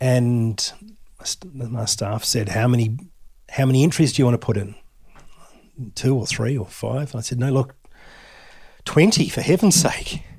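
A man with an Australian accent talks at a moderate pace and medium pitch with ordinary pitch variation, sounding somewhat breathy. He takes long, frequent pauses on a very clean recording with a silent background. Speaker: whisky distillery founder. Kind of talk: interview. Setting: in-person recording.

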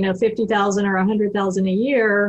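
With an American accent, a woman talks in a somewhat breathy voice at medium pitch. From Texas. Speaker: reverse mortgage specialist. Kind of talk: radio interview.

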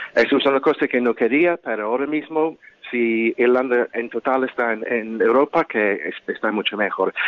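This man speaks with an English accent. His pitch is medium. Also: ordinary pitch variation, moderate pace. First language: English (speaking Spanish). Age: 50s. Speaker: activist. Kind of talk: interview. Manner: halting.

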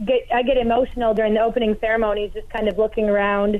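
A woman with an American accent talking at a very fast pace. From Hayward, Wisconsin. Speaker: log rolling competitor. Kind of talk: radio interview.

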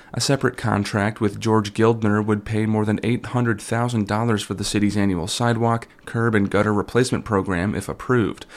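A man at a fairly quick pace, monotone and flat in intonation, with hardly any pauses. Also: fairly low pitch for a man. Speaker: radio newsreader. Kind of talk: local radio newscast, scripted news reading. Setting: radio studio. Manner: formal, even-paced and neutral.

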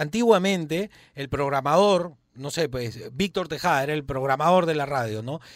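Lively intonation colors this man's moderately paced speech. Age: 40s. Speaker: radio host. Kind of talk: casual chat.

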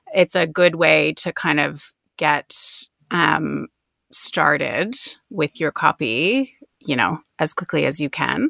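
A woman speaks very slowly in an Ontario accent. Her speech has long, frequent pauses. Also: dry, close sound with no echo. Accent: Canadian (Ontario). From Canada, outside Toronto. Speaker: copywriter, business owner. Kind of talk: casual interview. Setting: home closet, remote call.

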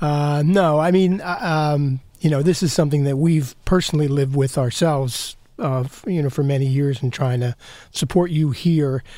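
A man's dark, mellow voice with ordinary pitch variation, in a very clean recording with a silent background. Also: fairly high pitch for a man, moderate pace. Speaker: news director. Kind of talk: interview.

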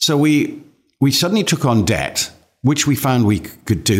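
On a very clean recording with a silent background, a man with an English accent speaks at a moderate pace with very wide pitch swings. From England. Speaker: mining company chairman. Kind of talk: interview. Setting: office. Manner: halting.

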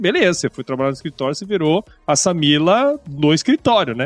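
A man talking at a fairly quick pace with lively intonation. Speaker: podcast host. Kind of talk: interview conversation.

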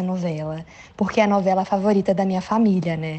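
At a fairly quick pace, a woman with medium pitch talks in fairly even intonation. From Brazil, São Paulo. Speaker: actress. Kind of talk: recorded message for a podcast.

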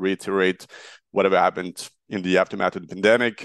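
In a French accent, a man speaks with fairly low pitch and fairly even intonation. The sound is dry and close with no echo, over a quiet background. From France, Marseille. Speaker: startup founder. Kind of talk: interview.

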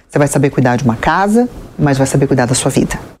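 A woman's fairly quick delivery, noticeable background noise behind it. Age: 40s. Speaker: TV presenter and journalist. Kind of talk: interview.

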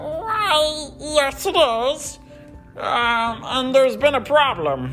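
A put-on, female-sounding character voice, high in pitch and very slow, over clear music in the background. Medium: read story. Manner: hesitant, gentle.

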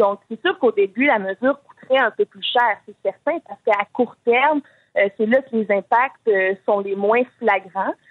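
This woman talks very slowly, her voice fairly high. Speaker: youth political wing president. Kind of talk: radio interview.

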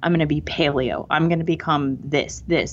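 The speaker has an American accent and vocal fry, with fairly even intonation. The background is quiet. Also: woman. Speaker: author. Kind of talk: casual interview conversation.

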